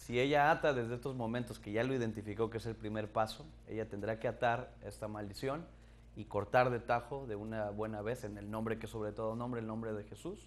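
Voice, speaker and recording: A man talks at a fairly quick pace with a fairly low pitch. His is an unremarkable speaking voice, with fairly even intonation. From Mexico. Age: 30s. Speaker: pastor panelist. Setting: TV studio. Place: studio. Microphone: lapel.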